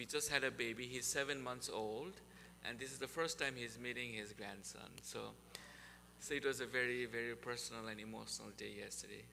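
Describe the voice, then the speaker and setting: Here a man at a medium pitch talks at a fairly quick pace with vocal fry. His intonation is fairly even, and the room echo is audible. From Nepal. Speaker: university sustainability speaker. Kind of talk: presentation to a church group.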